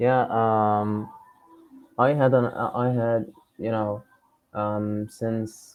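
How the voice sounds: This man has a fairly low pitch, a clear, smooth tone and little pitch movement.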